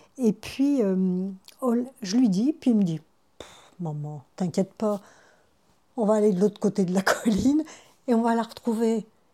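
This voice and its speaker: A somewhat breathy woman at medium pitch, with lively intonation and long, frequent pauses, on a very clean recording with a silent background. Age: 70s. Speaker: retired midwife and grandmother. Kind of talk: interview testimony. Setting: at her son's house. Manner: hesitant, with repetitions.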